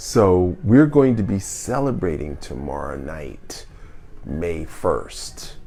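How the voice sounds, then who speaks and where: With music in the background, a man speaks very slowly in a very deep, low pitch, his pitch swinging very widely and his loudness shifting in big swings. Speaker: wellness podcast host. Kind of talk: live q&a show monologue.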